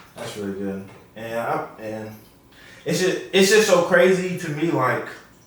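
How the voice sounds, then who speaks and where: A man's fairly high voice at a fairly slow pace, with very wide pitch swings and big swings in loudness, amid audible room echo and noticeable background noise. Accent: American. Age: 20s. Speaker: podcast host. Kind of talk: casual chat.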